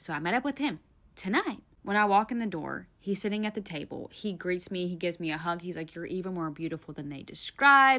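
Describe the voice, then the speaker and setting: Bright and sharp in tone, a woman with a Southern US accent talks at a fairly quick pace and medium pitch, sounding animated with lively intonation. The recording is very clean, with a silent background. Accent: Southern US, mild. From Tennessee, US South. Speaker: storyteller. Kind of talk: storytime monologue.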